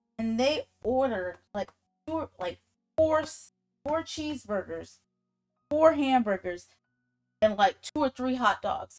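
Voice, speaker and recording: Against music in the background, the speaker goes at a fairly slow pace with long, frequent pauses, lively intonation and big swings in loudness, the sound dry and close with no echo. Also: woman, high pitch for a woman. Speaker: livestreaming artist. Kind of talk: casual storytelling on livestream. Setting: livestream. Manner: casual.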